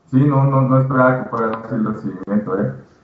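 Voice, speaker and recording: Amid noticeable background noise and audible room echo, a man talks at a fairly quick pace and medium pitch. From Mexico. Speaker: video game developer. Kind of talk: interview. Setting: live stream.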